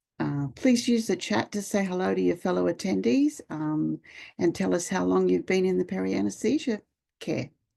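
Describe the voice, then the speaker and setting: Speaking at a moderate pace, a woman talks with an Australian accent. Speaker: nurse and webinar moderator. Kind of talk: webinar introduction. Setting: online webinar.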